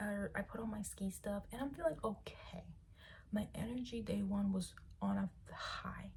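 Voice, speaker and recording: Medium-pitched woman's voice with vocal fry. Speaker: vlogger. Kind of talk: casual chat.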